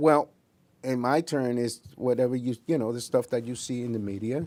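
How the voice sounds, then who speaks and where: A man's medium-pitched voice with a Spanish accent, fairly even intonation, and a moderate pace. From Puerto Rico. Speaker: investigator and scoutmaster. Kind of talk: interview. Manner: halting.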